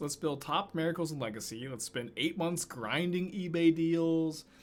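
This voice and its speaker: A man's voice sits fairly high as he speaks at a moderate pace with an American accent. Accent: Texan accent, usually suppressed. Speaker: Magic: The Gathering streamer. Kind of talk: gameplay commentary with chat. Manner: casual, lots of filler words.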